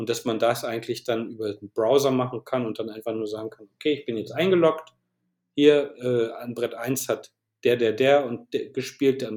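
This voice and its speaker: Moderately paced, a man with a medium pitch speaks with fairly even intonation but big swings in loudness. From northern Germany, Bremen. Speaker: chess web developer and designer. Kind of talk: interview. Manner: halting.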